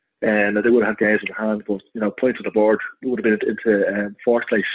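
A man with a Dublin accent, medium pitch, very fast pace and monotone, flat intonation. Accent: Dublin Irish. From Ireland, north Dublin. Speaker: football club secretary. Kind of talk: interview.

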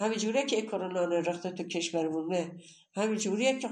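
In an animated tone, a woman talks at medium pitch, with audible room echo. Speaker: grandmother. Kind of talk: interview.

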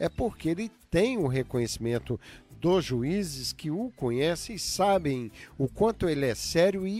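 Very wide pitch swings from a man with a fairly high pitch, with music in the background. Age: 60s. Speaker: radio host. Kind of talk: radio talk show.

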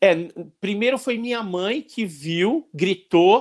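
A man speaks very slowly, his intonation lively. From Santos, Brazil. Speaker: ufologist and researcher. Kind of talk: casual podcast interview. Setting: online/livestream with chat.

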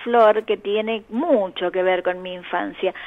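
A woman's plain, everyday voice, medium in pitch, at a fairly slow pace with fairly even intonation. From Argentina, Córdoba. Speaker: children's author and folklore collector. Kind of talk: interview.

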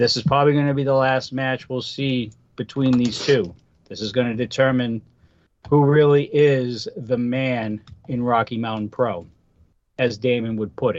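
With a Boston accent, a man talks at a moderate pace. His pitch is medium and his intonation fairly even. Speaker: wrestling podcast co-host and guest. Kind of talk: casual wrestling preview chat.

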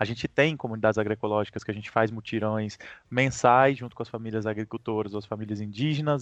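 The sound is dry and close, with no echo. A man talks very fast with fairly even intonation. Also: quiet background. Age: 30s. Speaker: ecosocialist activist. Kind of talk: interview.

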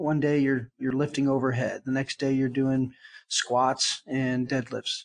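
A plain, everyday voice from a man, fairly high in pitch, at a moderate pace against a quiet background. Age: 50s. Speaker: event organizer and retired special forces soldier. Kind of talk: casual chat.

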